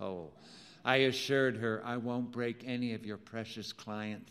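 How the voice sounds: The reading voice is natural. Its pitch doesn't move much, staying fairly even.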